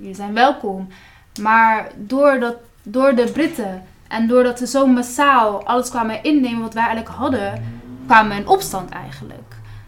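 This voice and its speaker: This woman has a plain, everyday voice at a fairly high pitch, with ordinary pitch variation. She keeps a moderate pace while her loudness swings widely. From Palestinian background. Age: 20s. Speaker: student activist. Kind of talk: interview.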